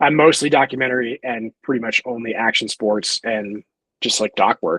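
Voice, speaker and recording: A man with an American accent and a normal speaking voice, fairly quick pace, ordinary pitch variation and a dry, close sound with no echo. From US Midwest. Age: 20s. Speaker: documentary filmmaker and photographer. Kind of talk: podcast interview. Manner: casual, filler-heavy.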